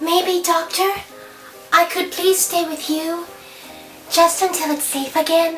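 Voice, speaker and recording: A put-on character voice speaks at an extremely high pitch and a fairly slow pace, with clear music in the background. Its intonation is monotone and flat. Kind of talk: cheesy 1950s B-movie acting. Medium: short film. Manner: timid, fretful.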